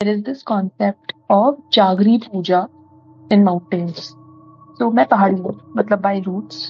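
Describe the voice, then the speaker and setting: Music plays in the background as a woman speaks at a medium pitch with ordinary pitch variation. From Delhi, India. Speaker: storyteller guest. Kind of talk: casual chat. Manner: halting.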